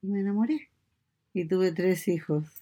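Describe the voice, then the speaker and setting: On a very clean recording with a silent background, a woman with a Chilean accent speaks in a dark, mellow tone with ordinary pitch variation. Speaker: mother interviewed by her daughter. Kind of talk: casual chat.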